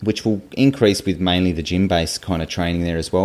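A man with an Australian accent. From Tasmania, Australia (Hobart). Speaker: physiotherapist and PhD researcher. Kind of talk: interview.

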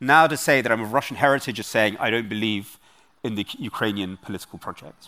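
In a London accent, a man talks very fast at a medium pitch with ordinary pitch variation. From London, England. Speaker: author and researcher. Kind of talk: interview. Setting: stage with audience.

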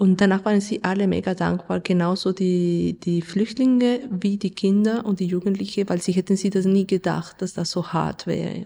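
A woman with a Spanish accent, medium pitch and a dark, mellow tone, fairly even intonation at a moderate pace with hardly any pauses, on a very clean recording with a silent background. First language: Spanish (speaking German). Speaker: radio play author and theatre director. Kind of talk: interview.

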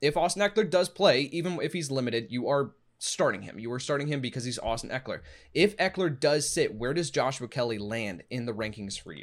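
A man's normal speaking voice, fairly high in pitch, with lively intonation, big swings in loudness and a fairly quick pace, on a very clean recording with a silent background. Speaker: fantasy football podcast host. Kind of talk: casual sports podcast chat.

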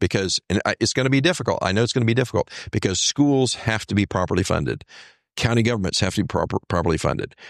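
Talking very fast with lively intonation and very even loudness, a man with an American accent speaks at medium pitch. The recording is very clean, dry and close, with no echo and a silent background. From Texas, Houston area. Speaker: lawyer and political candidate. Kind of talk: interview. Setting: studio.

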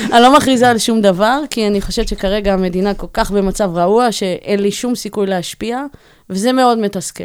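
The recording is very clean, and the background is silent. An unremarkable speaking voice has ordinary pitch variation at a moderate pace. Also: woman, medium pitch for a woman. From Israel, Bat Yam. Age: 40s. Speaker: tech operations executive. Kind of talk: interview. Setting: studio.

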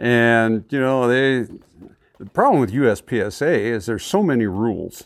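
An unremarkable speaking voice comes with an American accent. Intonation is lively and the pace moderate. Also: man, medium pitch for a man. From northern California near the Oregon border. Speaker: shooting range club president. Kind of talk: casual interview.

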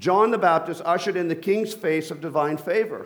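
Over audible room echo, a man talks in a high pitch with an animated tone. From Colombia. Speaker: pastor. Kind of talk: sermon.

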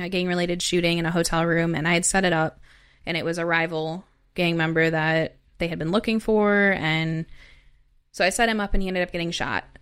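A normal speaking voice with a fairly quick pace and fairly even intonation. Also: woman, very clean recording, silent background. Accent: American. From US Midwest, southern Wisconsin (Madison). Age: 20s. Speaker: former gang member and trafficking survivor, author. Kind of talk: testimony.

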